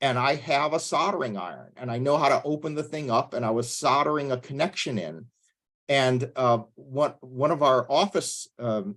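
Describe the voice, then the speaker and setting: Over a silent background in a very clean recording, a man talks in a normal speaking voice, fairly high in pitch, with ordinary pitch variation. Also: moderate pace. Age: 60s. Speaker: pastor leading a church tech workshop. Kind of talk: workshop lecture.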